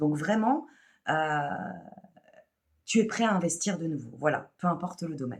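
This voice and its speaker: Her fairly low voice carries lively intonation as this woman talks at a moderate pace, broken by long, frequent pauses. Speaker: spiritual channeler. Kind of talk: channeled spiritual message. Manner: hesitant, many fillers and repeats.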